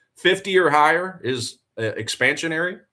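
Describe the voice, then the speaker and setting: Here a man talks with a Southern US accent, bright and sharp in tone, with lively intonation. The recording is very clean, with a silent background. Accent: Southern twang. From US South, Tennessee. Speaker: forex trader and live streamer. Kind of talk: live trading stream commentary. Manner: casual, conversational.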